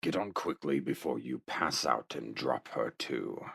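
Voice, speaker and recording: A man growls in a put-on character voice with a very deep, low pitch. His pace is moderate. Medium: audio drama. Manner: calm, dry, steady.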